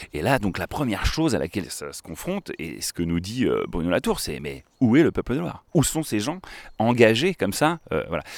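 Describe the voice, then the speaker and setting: A man talks with an animated tone at a moderate pace and a medium pitch, with very wide pitch swings, big swings in loudness and vocal fry. The recording is very clean, with a silent background. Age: 30s. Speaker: river school educator. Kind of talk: casual chat. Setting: outdoors by a river.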